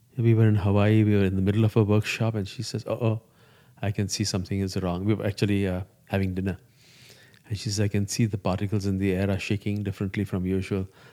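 Talking at a very fast pace, a man uses a fairly low pitch and a dark, mellow tone. His intonation is monotone and flat. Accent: Gujarati. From India (Parsi community). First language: Gujarati. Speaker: yoga teacher. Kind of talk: interview conversation.

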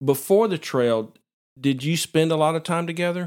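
A man's fairly high voice in a Southern US accent, at a moderate pace with ordinary pitch variation. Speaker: podcast host and photographer. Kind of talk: interview podcast conversation. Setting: recording in a vacant house with improvised soundproofing.

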